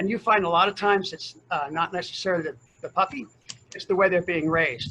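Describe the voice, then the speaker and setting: Amid noticeable background noise, a high-pitched man speaks at a very fast pace. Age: 60s. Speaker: volunteer dog puppy raiser. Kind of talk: interview storytelling. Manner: animated.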